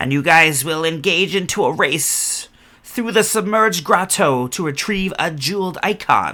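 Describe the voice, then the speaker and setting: Using a put-on character voice, a man talks at a high pitch and a moderate pace. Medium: actual play. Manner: commanding, repetitive.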